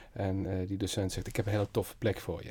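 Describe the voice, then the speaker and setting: At a moderate pace, a man speaks in a somewhat breathy voice with a fairly low pitch. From Netherlands, Limburg (Merselo near Venray). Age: 40s. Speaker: creative entrepreneur, design studio founder. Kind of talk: interview. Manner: energetic.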